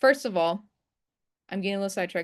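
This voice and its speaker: A medium-pitched woman's voice with a non-native accent, ordinary pitch variation, and a quiet background. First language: not English. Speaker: trading instructor. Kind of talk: live webinar tutorial. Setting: video call screen share. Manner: casual, conversational.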